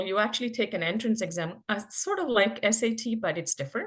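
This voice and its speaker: A woman with a Telugu accent, at a moderate pace, with lively intonation. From India, Karnataka. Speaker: physician. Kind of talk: podcast interview.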